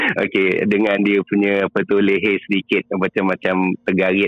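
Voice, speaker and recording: A man with a Malaysian accent speaks at a very deep, low pitch. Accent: Malaysian Malay. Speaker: caller. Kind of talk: casual storytelling. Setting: phone call. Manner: halting.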